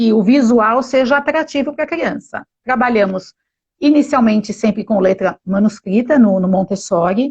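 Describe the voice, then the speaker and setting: A woman with a fairly high, somewhat breathy voice speaks at a fairly slow pace with lively intonation. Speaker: pedagogue. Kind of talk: live stream talk. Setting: Instagram live video call.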